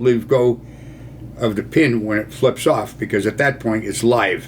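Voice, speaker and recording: Noticeable background noise lies behind a man speaking in an American accent. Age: 80s+. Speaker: war veteran. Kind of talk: storytelling. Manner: casual.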